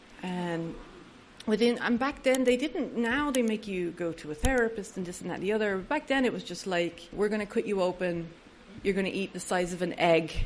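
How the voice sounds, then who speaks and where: A woman with an Irish accent speaks at a fairly quick pace. Her medium pitch moves with lively intonation. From Ireland. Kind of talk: recovery talk to an audience. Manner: humorous.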